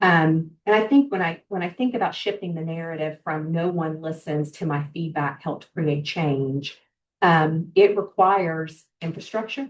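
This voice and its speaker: A woman with a fairly low pitch talks at a moderate pace with ordinary pitch variation, an unremarkable speaking voice. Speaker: healthcare organizational well-being leader. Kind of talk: webinar presentation; answering audience question. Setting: online webinar.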